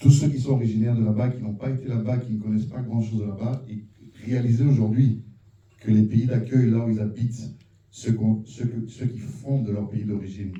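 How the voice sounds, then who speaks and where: A man's fairly quick, somewhat breathy voice, medium in pitch, with a dark, mellow tone. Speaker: audience member at film screening. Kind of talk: public question and comment. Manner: animated.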